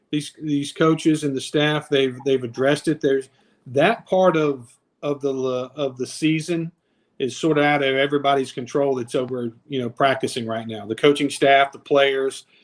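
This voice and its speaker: A man with a normal speaking voice and fairly high pitch talks at a moderate pace with fairly even intonation. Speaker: stadium public address announcer. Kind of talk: casual podcast guest conversation.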